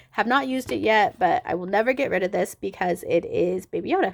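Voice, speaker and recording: A woman talks at a fairly quick pace with a medium pitch. There is vocal fry in her voice. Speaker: beauty vlogger. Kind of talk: casual product review. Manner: animated.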